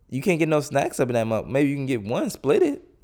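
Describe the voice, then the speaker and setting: A man speaks with a dark, mellow tone at a fairly high pitch. The recording is very clean, the background silent. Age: 20s. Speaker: solo podcaster. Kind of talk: casual monologue. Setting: home recording with headphones. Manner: informal, rambling with fillers.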